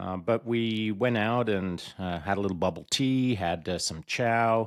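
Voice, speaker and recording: A man with a Canadian accent, an unremarkable speaking voice, ordinary pitch variation and a fairly slow pace, in a very clean recording with a silent background. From Canada, Alberta (born in England, moved at ten). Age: 60s. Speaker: retired special forces soldier and podcaster. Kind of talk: podcast interview.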